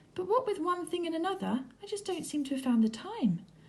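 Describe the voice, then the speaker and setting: In a put-on character voice, a woman squeaks at an extremely high pitch. Her tone is warm and enthusiastic, and her pace is very fast. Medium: read story. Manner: warm, affectionate, enthusiastic.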